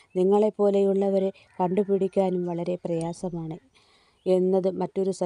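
Plain reading aloud is all the recording holds.

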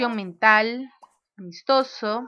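A woman shouts in a bright, sharp tone. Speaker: gaming youtuber. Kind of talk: let's play commentary. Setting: home recording at desk. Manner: loud, near shouting while recording; animated.

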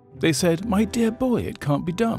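Music sits in the background while a man speaks at a moderate pace, the sound dry with no echo. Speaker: company founder. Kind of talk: TV commercial read.

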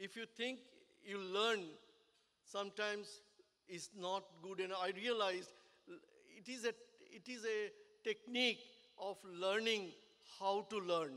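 A man with a high pitch and a bright, sharp tone speaks in a raised, projected voice at a fairly slow pace, with long, frequent pauses against a quiet background. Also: ordinary pitch variation. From India. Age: 70s. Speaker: business owner and engineer. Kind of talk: speech at a business networking event. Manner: halting. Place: hall. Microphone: podium.

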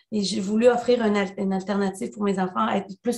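Fairly quick, somewhat breathy speech from a woman, with fairly even intonation and a quiet background. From El Salvador. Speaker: union leader; panelist. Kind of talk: webinar talk. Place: home room. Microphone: video call.

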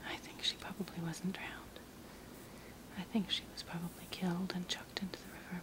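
Whispering, the speaker goes at a fairly quick pace. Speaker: storyteller crafter. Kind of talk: casual storytelling while working. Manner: soft, hushed ASMR storytelling voice.

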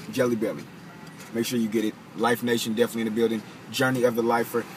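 A man at a very fast pace, monotone and flat in intonation, over light background noise. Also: dry sound with no echo. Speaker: vlogger. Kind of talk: casual vlog chat. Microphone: phone near.

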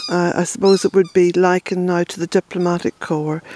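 The voice sounds dry with no echo, over light background noise. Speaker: family history vlogger. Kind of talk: casual vlog chat. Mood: reflective, gentle. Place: forest. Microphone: phone near.

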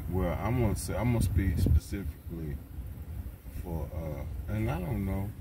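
Speaking at a moderate pace, a man is heard over loud background noise. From US South, Tennessee. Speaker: van dweller vlogger. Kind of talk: casual vlog monologue. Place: car. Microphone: phone near.

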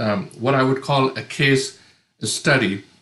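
A man talks at a fairly slow pace with a fairly high pitch. The background is quiet, with audible room echo. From India. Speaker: pastor, panelist. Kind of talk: prepared talk. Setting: online video conference. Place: home room. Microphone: video call.

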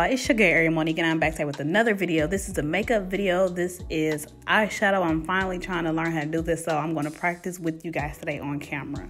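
Over faint music in the background, a woman with a fairly low pitch and ordinary pitch variation speaks very fast with hardly any pauses. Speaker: beauty vlogger. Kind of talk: makeup tutorial vlog chat. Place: home room. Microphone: phone near.

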